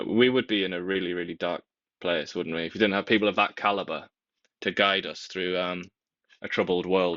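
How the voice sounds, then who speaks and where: With a British accent, a man speaks at a fairly quick pace in a very deep, low voice with fairly even intonation. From Britain. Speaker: talk show co-host. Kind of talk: casual chat. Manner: deadpan sarcastic.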